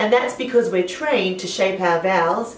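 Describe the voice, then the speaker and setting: A woman speaks with an Australian accent at a moderate pace. Noticeable background noise and audible room echo fill the recording. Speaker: singing teacher. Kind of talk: tutorial.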